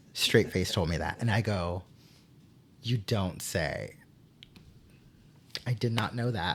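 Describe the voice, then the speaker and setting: Pausing long and often, a man speaks in a somewhat breathy, fairly low voice with ordinary pitch variation, on a very clean recording with a silent background. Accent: American. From Texas. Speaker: theater teacher. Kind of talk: casual interview chat. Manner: halting, many fillers and restarts.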